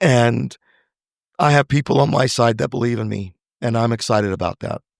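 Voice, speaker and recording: Over a quiet background, a man in an unremarkable speaking voice talks at a fairly quick pace and medium pitch with ordinary pitch variation, the sound dry and close with no echo. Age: 60s. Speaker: actor and screenwriter. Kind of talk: interview conversation.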